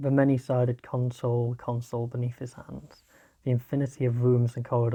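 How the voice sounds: Reading done in a natural voice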